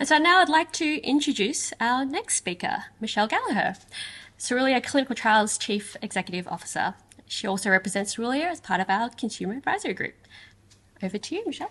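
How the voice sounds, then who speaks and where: Her pitch high and swinging very widely, a woman talks at a very fast pace. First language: not English. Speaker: glaucoma research fellow. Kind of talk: speech at a community forum.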